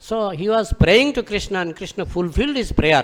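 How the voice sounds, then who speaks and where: Lively in intonation, a man speaks with a Bengali accent. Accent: Indian English, Bengali. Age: 60s. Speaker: religious speaker. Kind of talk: religious lecture.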